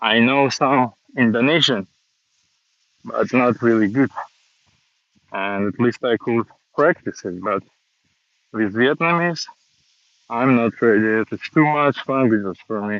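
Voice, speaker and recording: A man with a Russian accent, ordinary pitch variation, long and frequent pauses, and a dry, close sound free of echo. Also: medium pitch for a man, fairly slow pace. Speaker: vlogger. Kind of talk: walking live stream monologue. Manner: halting.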